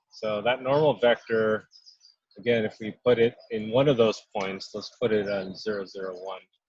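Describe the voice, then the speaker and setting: At a moderate pace, a man with an ordinary speaking voice talks at a fairly low pitch with fairly even intonation and big swings in loudness. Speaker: math instructor. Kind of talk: lecture.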